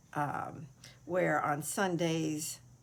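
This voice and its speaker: A woman speaks with an American accent and fairly low pitch. Audible room echo surrounds her voice. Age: 60s. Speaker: craft video creator. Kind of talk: casual chat. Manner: hesitant, many fillers.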